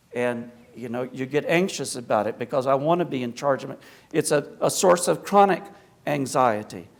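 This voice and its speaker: With a slight Appalachian accent, a man talks at a moderate pace. His pitch is fairly high and his intonation lively. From US South, South Carolina and Appalachia. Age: 60s. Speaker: Orthodox priest, guest speaker. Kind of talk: public lecture. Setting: church hall with audience. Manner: conversational.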